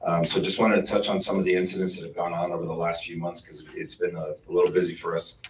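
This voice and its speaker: A man with an American accent at a very fast pace, over noticeable background noise. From California, Coachella Valley. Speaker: police sergeant. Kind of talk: community meeting briefing.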